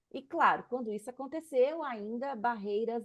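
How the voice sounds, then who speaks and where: Her pitch is fairly high for a woman. The variation in it is ordinary. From Brazil. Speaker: political scientist and activist. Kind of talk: interview.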